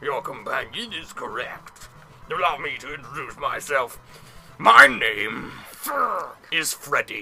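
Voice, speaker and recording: Using a put-on character voice, a man speaks at a fairly slow pace with a fairly high pitch and long, frequent pauses. Clear background noise runs underneath. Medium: read story. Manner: folksy, chatty.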